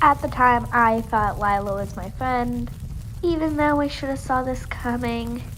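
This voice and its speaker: A woman takes a fairly slow pace, with room echo audible around her. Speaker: animated storytime youtuber. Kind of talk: storytime narration. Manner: casual, conversational.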